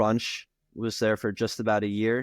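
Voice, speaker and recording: A man speaks with an American accent and a fairly low pitch, the background quiet. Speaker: personal trainer and gym owner. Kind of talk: casual interview chat. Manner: fast. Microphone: connection cutting in and out.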